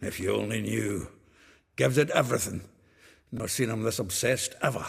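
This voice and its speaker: In a put-on character voice, a raspy man speaks fairly quickly at a medium pitch. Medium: video game. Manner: hearty, gruff.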